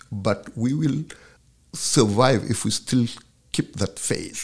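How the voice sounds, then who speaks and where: In a Senegalese accent, a man talks at a very slow pace with lively intonation. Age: 60s. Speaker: professor and filmmaker. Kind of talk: casual interview conversation. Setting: studio.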